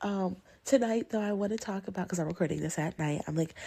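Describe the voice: Speaking at a medium pitch, a woman has a dark, mellow tone with vocal fry and a slightly husky edge.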